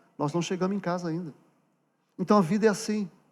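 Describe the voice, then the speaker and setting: In a very clean recording with a silent background, a man with a high pitch talks at a fairly quick pace with ordinary pitch variation. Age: 60s. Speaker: pastor. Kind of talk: sermon. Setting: church. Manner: conversational, direct address to congregation.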